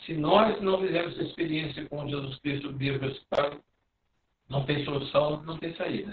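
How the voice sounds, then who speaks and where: A man's plain, everyday voice, fairly high in pitch, at a moderate pace with fairly even intonation. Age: 60s. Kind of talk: spiritual talk.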